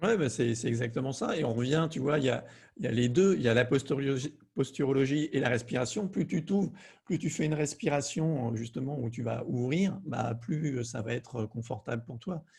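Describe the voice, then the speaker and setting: A man speaks at a fairly quick pace in a somewhat breathy, medium-pitched voice with ordinary pitch variation. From southern France. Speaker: fear-release coach. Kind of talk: conversational interview.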